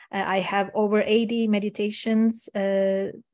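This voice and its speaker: Over a quiet background, a woman with a Turkish accent speaks very slowly at a medium pitch. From Turkey. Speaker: coach and meditation teacher. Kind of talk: casual interview chat.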